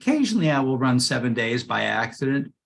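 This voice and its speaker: Speaking at a very fast pace, a man's voice shows vocal fry. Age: 60s. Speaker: running coach. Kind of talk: casual Q&A session. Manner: halting.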